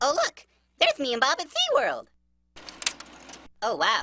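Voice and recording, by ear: This cartoonish character voice is squeaky and high-pitched, moving at a moderate pace.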